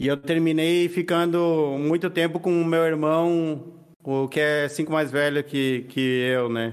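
A man's fairly high-pitched voice at a very slow pace, with fairly even intonation and very even loudness. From Argentina. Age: 30s. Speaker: writer. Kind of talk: casual interview chat.

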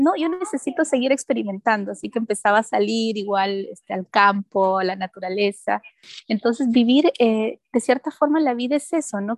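This woman has a plain, everyday voice, pitched fairly high with ordinary pitch variation. The sound is dry and close, with no echo. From Peru. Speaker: life coach and event producer. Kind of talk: radio interview.

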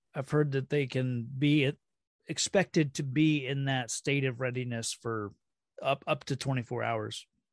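A man in a normal speaking voice, medium in pitch with fairly even intonation, talks at a moderate pace in a dry, close sound with no echo and a quiet background. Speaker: podcast guest co-host. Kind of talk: casual chat.

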